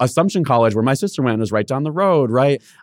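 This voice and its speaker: On a very clean recording with a silent background and a dry, close sound with no echo, a man with an American accent speaks at a medium pitch with lively intonation. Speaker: college counselor. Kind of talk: casual chat.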